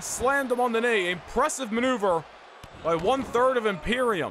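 Over noticeable background noise, a man with an extremely high pitch talks at a fairly quick pace in a raised, projected, animated voice with very wide pitch swings. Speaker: wrestling game commentator. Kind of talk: live wrestling commentary. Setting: gaming video voiceover. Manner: animated, fast, hyped play-by-play; excited, announcer-style delivery.

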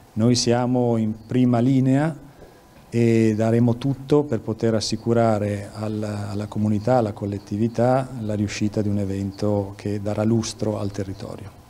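A man talks in a fairly low pitch. His intonation stays fairly even. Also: moderate pace. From Lombardy, Milan. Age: 60s. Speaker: police chief. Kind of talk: news interview. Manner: halting.

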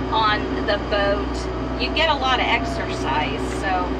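A woman speaks over loud background noise. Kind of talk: casual cooking tutorial. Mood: relaxed, chatty. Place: kitchen. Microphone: camera far.

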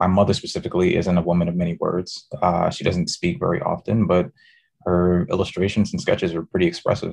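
A man with a New York accent talks at a very fast pace. His very deep, low voice stays monotone and flat. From New York City, the Bronx. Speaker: design professor. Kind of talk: interview conversation. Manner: repeats words, restarts sentences.

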